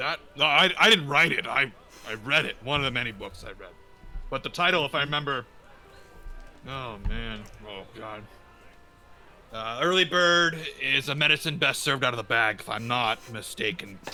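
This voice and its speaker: A man's put-on character voice at medium pitch, broken by long, frequent pauses. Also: moderate pace. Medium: actual play. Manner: rambling, hesitant.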